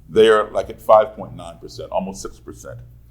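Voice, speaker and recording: Keeping a moderate pace, a man speaks with an American accent. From Chicago, US Midwest. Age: 60s. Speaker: race relations speaker. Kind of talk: public talk.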